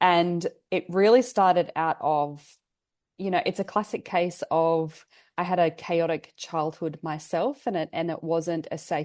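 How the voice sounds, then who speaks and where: With an Australian accent, a woman speaks at a fairly slow pace in a fairly low voice with ordinary pitch variation against a quiet background. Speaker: family therapist and mindset coach. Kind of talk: podcast interview. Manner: hesitant with repetitions.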